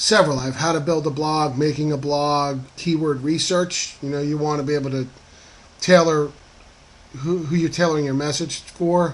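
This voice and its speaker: A man with an American accent speaks at a moderate pace, his fairly high pitch held in a monotone, flat intonation. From northern New Jersey. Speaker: online marketing affiliate blogger. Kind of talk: screen-capture tutorial monologue. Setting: screen recording. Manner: casual with many fillers (um, uh).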